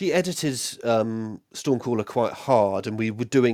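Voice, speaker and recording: In a very clean recording with a silent background, a man has an ordinary speaking voice at medium pitch. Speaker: fantasy author. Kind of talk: casual interview.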